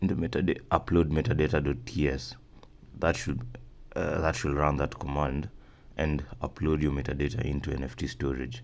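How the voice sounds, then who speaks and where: A man speaks with a very deep, low pitch, ordinary pitch variation and vocal fry. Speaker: software developer tutorial maker. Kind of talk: screen-recorded coding tutorial. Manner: fast; halting, many fillers and repeats.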